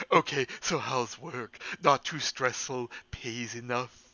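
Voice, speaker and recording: Put-on character voice from a man, medium in pitch, at a fairly slow pace. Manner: nagging, cartoonish.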